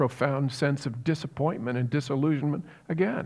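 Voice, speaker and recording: Recorded very cleanly over a silent background, a man with an American accent and an ordinary speaking voice talks at a moderate pace, his fairly high pitch showing ordinary variation. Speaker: pastor. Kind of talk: sermon.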